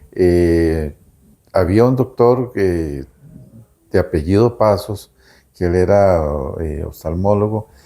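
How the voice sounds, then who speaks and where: Speaking very slowly, a man leaves long, frequent pauses. His very deep, low pitch and dark, mellow tone show ordinary pitch variation. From Costa Rica. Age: 60s. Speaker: lawyer. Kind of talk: interview. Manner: hesitant with fillers.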